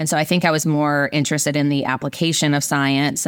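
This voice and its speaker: A woman speaks with a Southern US accent in a very deep, low voice. The recording is very clean, with a silent background. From US South, rural Virginia. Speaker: biotech company CEO. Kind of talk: interview. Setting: podcast interview.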